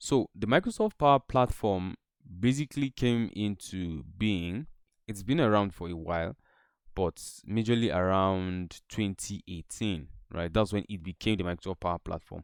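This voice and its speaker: At a moderate pace, a man speaks in a plain, everyday voice with a fairly low pitch, ordinary pitch variation and a dry, close sound with no echo. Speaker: tech instructor. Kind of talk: online lecture.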